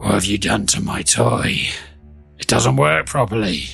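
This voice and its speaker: Over music in the background, a man puts on a character voice, very deep and low and rumbling, at a moderate pace. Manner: accusing, irritated.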